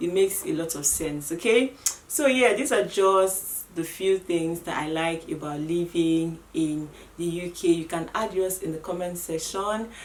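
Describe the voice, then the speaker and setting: A woman with a Nigerian accent, fairly low in pitch, at a fairly slow pace with ordinary pitch variation, over noticeable background noise. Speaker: vlogger. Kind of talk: casual vlog talk to camera.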